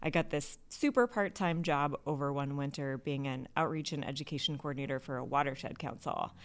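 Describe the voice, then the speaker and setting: In a very clean recording with a silent background, a woman talks at a fairly quick pace with hardly any pauses. Her voice is very deep and low, with ordinary pitch variation. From Southeast Alaska. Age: 40s. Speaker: bee conservation nonprofit founder. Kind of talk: interview. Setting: studio, in person, video.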